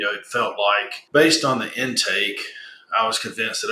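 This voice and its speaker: Southern US accent from a man at a moderate pace. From US South. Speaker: business owner, client testimonial. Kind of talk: interview testimonial. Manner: casual, with frequent fillers and repetitions.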